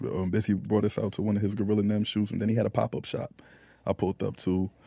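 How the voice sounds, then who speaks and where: On a very clean recording with a silent background, a man with a medium-pitched voice speaks with a New York accent. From Queens, New York; raised in Phoenix. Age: 30s. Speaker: rapper. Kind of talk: casual interview chat. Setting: live podcast at Super Bowl event.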